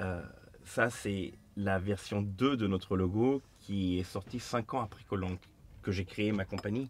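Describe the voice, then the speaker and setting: Very slowly and with fairly even intonation, a man speaks at a fairly low pitch. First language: Turkish (speaking French). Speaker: master coppersmith, business founder. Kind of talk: casual interview.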